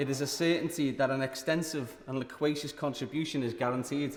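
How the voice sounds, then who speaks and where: This man has a fairly high pitch and a Liverpool accent, speaking at a moderate pace with fairly even intonation. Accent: Liverpool (Scouse). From Liverpool, England. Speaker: member of parliament. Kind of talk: parliamentary maiden speech. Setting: parliament chamber. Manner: formal.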